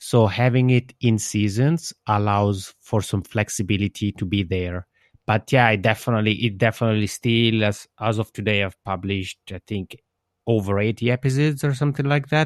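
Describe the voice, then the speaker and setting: Over a very clean recording with a silent background, a man with a fairly low pitch talks at a moderate pace with ordinary pitch variation in a dry, close sound with no echo. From Switzerland, Italian-speaking region. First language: Italian. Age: 30s. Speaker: podcaster. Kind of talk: interview. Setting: internet call.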